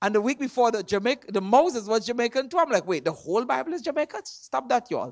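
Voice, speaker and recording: The delivery is animated and very fast. It comes in a Trinidadian accent. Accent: Trinidadian, noticeable. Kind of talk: sermon. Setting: church with congregation. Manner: animated, call and response.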